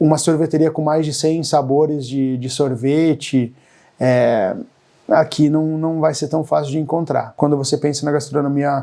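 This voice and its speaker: A man speaks fairly slowly with a fairly high pitch and a dark, mellow tone. His intonation is fairly even against a quiet background. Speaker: YouTuber on expat life. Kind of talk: vlog monologue. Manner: hesitant, many filler words.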